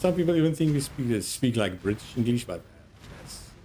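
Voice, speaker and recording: A man talks with an Afrikaans South African accent. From South Africa, Afrikaans-speaking. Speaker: gaming streamer. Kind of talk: casual gameplay commentary.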